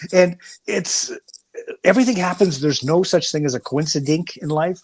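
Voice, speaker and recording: A man speaks with a Canadian accent. His pitch is high for a man. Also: ordinary pitch variation, moderate pace. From Canada (Saskatchewan). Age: 60s. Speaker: recovering alcoholic guest. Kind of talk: casual chat.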